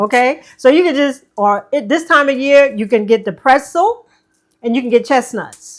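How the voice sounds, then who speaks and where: Speaking with a New York accent, a woman uses a high pitch, ordinary pitch variation and a moderate pace. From New York City, Manhattan. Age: 70s. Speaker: herbalist, ex-wife of a healer. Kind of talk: casual chat. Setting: home kitchen.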